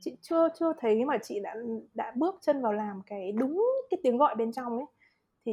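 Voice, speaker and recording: A somewhat breathy woman with a dark, mellow tone, fairly high pitch, lively intonation and a fairly slow pace. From Vietnam. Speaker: psychological counselor. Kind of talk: casual chat.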